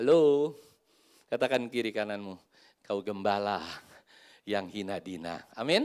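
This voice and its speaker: This man speaks at a medium pitch in an animated tone with lively intonation. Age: 50s. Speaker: pastor. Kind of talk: sermon.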